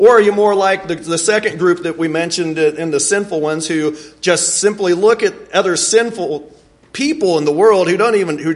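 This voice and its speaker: Lively intonation from a man with a high pitch, set against noticeable background noise. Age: 40s. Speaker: preacher. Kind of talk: sermon. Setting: church. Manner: halting.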